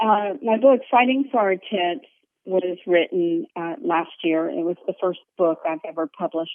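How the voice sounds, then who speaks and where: Lively intonation marks this woman's medium-pitched, ordinary speaking voice. She moves at a moderate pace, with big swings in loudness. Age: 50s. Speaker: author and yoga teacher. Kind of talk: interview. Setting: phone call.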